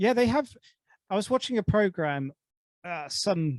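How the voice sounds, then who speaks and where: The speaker has a southern English accent. The sound is dry and close, with no echo. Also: man. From England. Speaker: podcast host. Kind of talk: casual chat.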